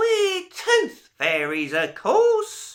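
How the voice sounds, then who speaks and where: In a put-on character voice, a man squeaks at an extremely high pitch. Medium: read story. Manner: sly, sharp, snappish.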